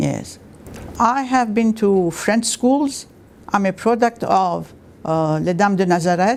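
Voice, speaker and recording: Delivered at a very slow pace in an Armenian accent, the speech keeps a very even loudness and ordinary pitch variation. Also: woman, medium pitch for a woman. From Iraq and Lebanon. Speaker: retired university staff member. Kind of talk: oral history interview. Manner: hesitant, with many fillers.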